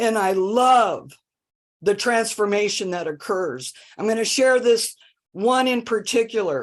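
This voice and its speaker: A woman talks fairly slowly in a normal speaking voice. She pitches it fairly high, with ordinary pitch variation. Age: 60s. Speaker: homeless services worker. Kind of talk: public consultation meeting.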